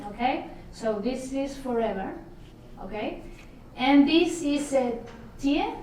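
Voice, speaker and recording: A woman's high-pitched voice at a very slow pace, with ordinary pitch variation, long and frequent pauses, and audible room echo. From Italy. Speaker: travel vlogger. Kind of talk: interview.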